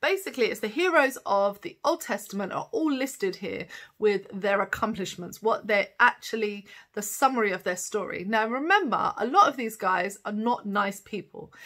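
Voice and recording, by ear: At a moderate pace and with few pauses, a woman talks at a medium pitch. Her tone is fairly bright and her intonation lively.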